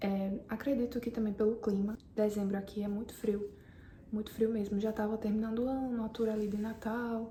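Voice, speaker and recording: A woman speaks in a fairly high voice with monotone, flat intonation. Noticeable background noise runs underneath. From Brazil. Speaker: vlogger, immigrant salesperson. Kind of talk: casual vlog.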